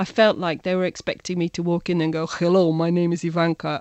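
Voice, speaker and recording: A woman with a British accent talks at a very fast pace. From England, Birmingham. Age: 40s. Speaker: digital consultant. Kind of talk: interview.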